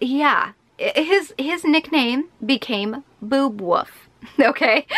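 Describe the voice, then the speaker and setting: This woman has a high voice with a bright, sharp tone. Her intonation is lively. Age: 20s. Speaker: beauty YouTuber; beauty vlogger. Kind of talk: casual vlog chat. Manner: animated. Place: home room.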